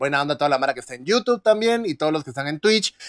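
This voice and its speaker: A man's voice makes very wide pitch swings. The sound is dry with no echo, over a quiet background. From Guatemala. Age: 20s. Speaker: gaming streamer. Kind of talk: live gameplay stream chat. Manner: animated. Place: home room.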